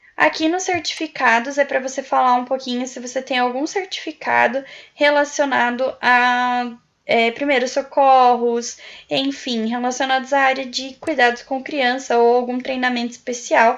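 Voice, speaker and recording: With a Brazilian accent, the speaker keeps a moderate pace against a quiet background. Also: woman, high pitch for a woman, fairly even intonation. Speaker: YouTuber, prospective au pair. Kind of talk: tutorial. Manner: casual, with filler words.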